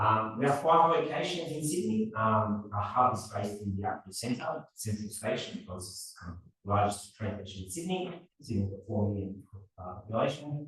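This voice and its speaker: This man's voice sits fairly low and moves with lively intonation. His loudness swings widely, and room echo is audible. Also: moderate pace. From Australia, partly raised in Serbia. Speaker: robotics professor. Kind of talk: lecture. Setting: seminar talk with audience.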